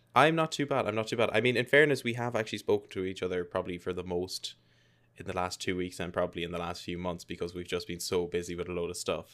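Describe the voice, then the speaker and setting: A man with an Irish accent speaks at a very fast pace, in a very deep, low pitch with ordinary variation. The recording is very clean, with a silent background. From Ireland. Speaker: gaming podcast host. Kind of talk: casual chat.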